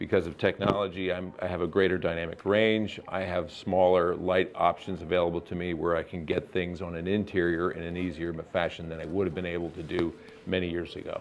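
Over light background noise, a man with a very deep, low pitch talks at a fairly quick pace in monotone, flat intonation with hardly any pauses. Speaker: guest. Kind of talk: interview answer. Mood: relaxed, laughing. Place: studio. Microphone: lapel.

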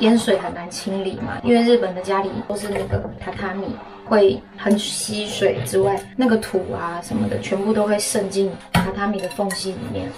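Noticeable background noise sits under a woman speaking at a moderate pace. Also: ordinary pitch variation. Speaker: vlogger. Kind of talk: casual vlog chat. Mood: subdued, sympathetic. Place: kitchen. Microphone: phone near.

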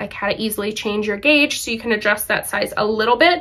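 Lively intonation marks this woman's speech. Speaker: knitting podcaster. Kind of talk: casual vlog chat. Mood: cheerful, laughs often. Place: home room.

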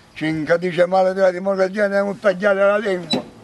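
A man with a Salentino accent talks at a very fast pace. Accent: Salentino southern Italian dialect. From Salento, southern Italy (Galatone); Salento, Italy. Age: 70s. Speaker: elderly farm worker. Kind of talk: testimony; interview answer. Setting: outdoors. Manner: animated; halting. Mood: indignant, venting frustration. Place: farm machine.

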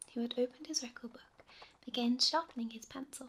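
Soft-spoken delivery at a fairly quick pace. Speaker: audiobook narrator. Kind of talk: sleep story. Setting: rain sounds in background.

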